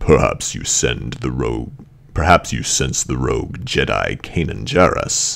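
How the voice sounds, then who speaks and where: A man's put-on character voice with a very deep, low pitch at a moderate pace. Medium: read story. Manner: deep, cold, contemptuous.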